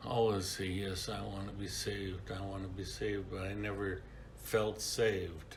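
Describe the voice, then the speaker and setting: A man with an American accent, fairly low-pitched and monotone, amid audible room echo and noticeable background noise. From US Midwest, Kenosha, Wisconsin. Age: 70s. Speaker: church member sharing life story. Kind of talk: testimony. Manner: halting, with fillers.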